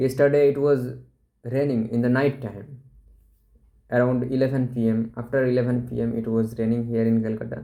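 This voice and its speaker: With a Bengali accent, the speaker talks at a fairly quick pace in a dark, mellow tone, using monotone, flat intonation and long, frequent pauses. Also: man, medium pitch for a man. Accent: Indian English, Bengali. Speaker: vlogger. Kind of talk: casual talk to camera.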